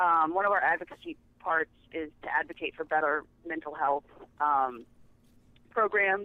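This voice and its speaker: Speaking with an American accent, a woman leaves long, frequent pauses. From Kansas City, US Midwest. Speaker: charity worker. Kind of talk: casual interview.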